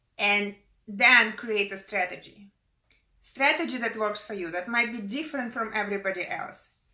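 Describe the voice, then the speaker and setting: A woman talks at a moderate pace in a fairly high pitch. Her tone is bright and sharp, with ordinary pitch variation. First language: not English. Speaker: business coach and motivational speaker. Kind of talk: motivational talk.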